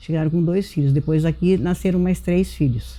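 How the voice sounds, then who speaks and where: Her voice is fairly low for a woman, dark and mellow in tone, with ordinary pitch variation. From Brazil, São Paulo state interior. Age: 70s. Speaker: local elder, granddaughter of a healed devotee. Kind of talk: interview testimony. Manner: halting.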